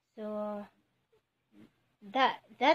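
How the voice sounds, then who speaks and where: Her speech shows ordinary pitch variation as a woman talks. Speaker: home vlogger. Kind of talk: casual vlog chat. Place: kitchen. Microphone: phone near.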